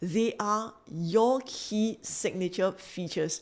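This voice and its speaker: A woman speaks in a Singaporean accent. Her pitch varies in an ordinary way. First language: not English. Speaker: business coach. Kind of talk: motivational talk to camera; sales pitch.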